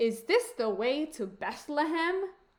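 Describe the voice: A woman does a put-on character voice, high-pitched and slow. Her pitch swings widely, and room echo is audible.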